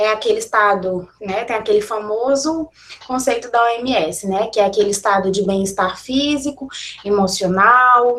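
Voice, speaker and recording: A woman speaks in a plain, everyday voice at a moderate pace, her pitch fairly high and her pitch variation ordinary. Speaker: university professor giving a lecture. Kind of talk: online lecture.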